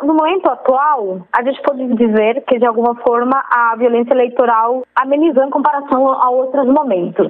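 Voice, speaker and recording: A woman's high voice with a Spanish accent at a moderate pace, with ordinary pitch variation, very even loudness, hardly any pauses, and noticeable background noise. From Colombia. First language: Spanish (speaking Portuguese). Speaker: PhD researcher. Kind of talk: interview. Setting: phone call.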